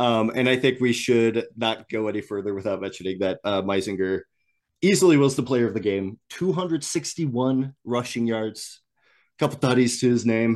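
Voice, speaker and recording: Against a quiet background, a man speaks at a moderate pace and medium pitch with ordinary pitch variation. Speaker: guest NAIA analyst. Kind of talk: casual sports analysis chat. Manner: laid-back, enthusiastic, casual.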